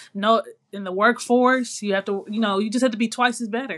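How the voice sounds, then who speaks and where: A woman has an ordinary speaking voice, pitched fairly high. Her pitch varies in an ordinary way. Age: young. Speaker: podcast co-host. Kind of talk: casual chat.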